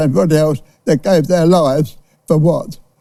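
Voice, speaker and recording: In a British accent, the speaker uses lively intonation and a dark, mellow tone. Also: man. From United Kingdom. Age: 80s+. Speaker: war veteran. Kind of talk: TV interview answer. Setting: studio.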